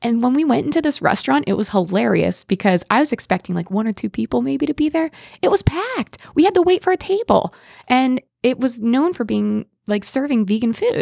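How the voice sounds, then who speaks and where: With an American accent, a woman talks fairly quickly at a high pitch, her voice swinging very widely, in a dry, close sound with no echo. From Pennsylvania, small town. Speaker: exchange program participant. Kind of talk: storytelling anecdote.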